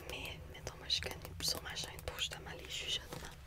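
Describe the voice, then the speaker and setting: A woman's soft-spoken whisper over loud background noise. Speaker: ASMR content creator. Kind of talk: casual chat, interview answer. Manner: soft close-mic whisper. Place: home room. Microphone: studio mic.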